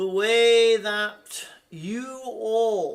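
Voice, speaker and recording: Pitched high, a man puts on a character voice. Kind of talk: spiritual channeling. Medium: solo performance. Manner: slow, deliberate, soothing.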